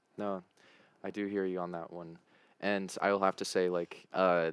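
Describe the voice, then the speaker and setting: In a General American accent, a man speaks at a very deep, low pitch. His pace is moderate and his intonation monotone and flat. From United States. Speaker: podcast host. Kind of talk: casual interview chat.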